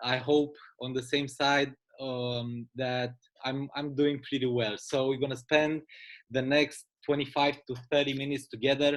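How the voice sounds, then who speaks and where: Monotone and flat, a man with a fairly high pitch talks at a moderate pace. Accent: Romanian. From Romania, Bucharest. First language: Romanian. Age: 30s. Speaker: business presenter. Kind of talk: sales pitch.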